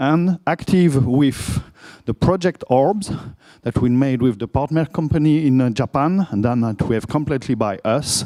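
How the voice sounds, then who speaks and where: Dry and close with no echo, the voice has a dark, mellow tone, lively intonation, a French accent and a moderate pace. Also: man, fairly high pitch for a man. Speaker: conference speaker, product manager. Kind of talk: conference talk.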